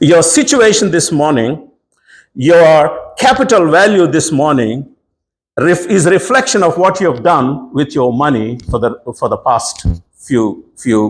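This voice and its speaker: At a fairly slow pace, a man with a fairly high pitch speaks with vocal fry and very wide pitch swings. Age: 60s. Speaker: preacher. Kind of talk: sermon. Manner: animated.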